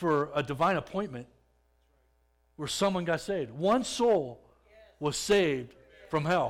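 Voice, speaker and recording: Here a man speaks with a high pitch and lively intonation. His pace is moderate. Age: 40s. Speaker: lay speaker giving church testimony. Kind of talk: testimony. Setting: church stage with audience. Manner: halting.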